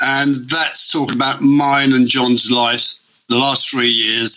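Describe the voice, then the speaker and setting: Someone speaks at a fairly slow pace in an English accent. Noticeable background noise is present. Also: man. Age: 60s. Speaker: former offender and artist. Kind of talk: interview.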